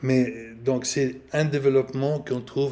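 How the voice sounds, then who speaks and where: In a room with audible echo, a man speaks slowly in a dark, mellow tone at a fairly slow pace. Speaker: priest and canon law professor. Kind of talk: lecture. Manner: halting.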